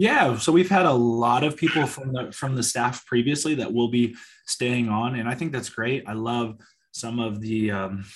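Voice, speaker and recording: At a moderate pace and medium pitch, a man talks in an unremarkable speaking voice, his pitch varying in an ordinary way. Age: 20s. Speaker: high school football coach. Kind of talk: interview.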